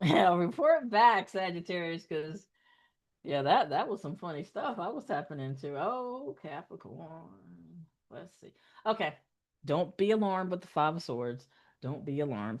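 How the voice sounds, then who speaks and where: This woman speaks fairly slowly with an American accent, her fairly low pitch moving in very wide swings. Her loudness also shifts a great deal against a quiet background. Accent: Southern US, occasionally slips out. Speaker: tarot reader. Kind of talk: live-streamed tarot reading. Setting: live stream. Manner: animated.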